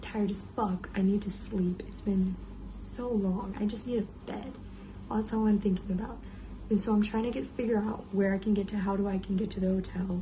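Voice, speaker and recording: A quiet woman at medium pitch, monotone and flat, at a moderate pace over noticeable background noise. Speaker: travel vlogger. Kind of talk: casual vlog storytelling. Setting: hotel room. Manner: quiet, hushed.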